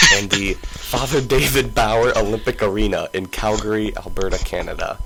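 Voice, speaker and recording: A man's put-on character voice with a dramatic tone, at a moderate pace over clear background noise. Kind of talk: grandiose announcer style. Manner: epic, dramatic, grand.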